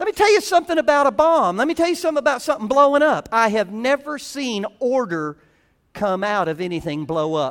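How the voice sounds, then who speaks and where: With a Southern US accent, this man talks at a fairly quick pace in an extremely high voice with very wide pitch swings, music playing in the background. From US South. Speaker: pastor. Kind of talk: sermon.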